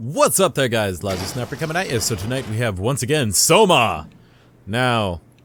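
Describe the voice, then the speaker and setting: A man talks loudly at a moderate pace and a medium pitch. His tone is animated, with very wide pitch swings. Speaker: gaming YouTuber. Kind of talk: let's play commentary.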